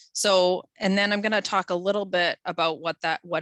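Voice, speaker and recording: A woman speaks at a moderate pace with fairly even intonation in a dry, close sound with no echo. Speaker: public health official. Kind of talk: presentation. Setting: video call. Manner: loud.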